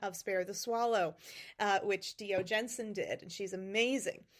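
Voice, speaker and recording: A woman speaks at a moderate pace with a slight New England accent. The recording is very clean, with a silent background. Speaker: podcast host and fantasy author. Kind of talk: casual solo podcast talk. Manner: hesitant, many fillers.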